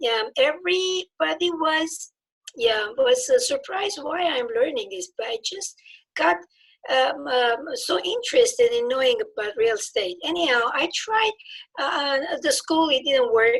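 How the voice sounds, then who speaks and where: A woman with a high pitch and very wide pitch swings, at a fairly slow pace. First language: not English; English is her third language. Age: old. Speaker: nutrition and alignment practitioner, new real estate licensee. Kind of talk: casual interview. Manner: halting, many fillers and restarts.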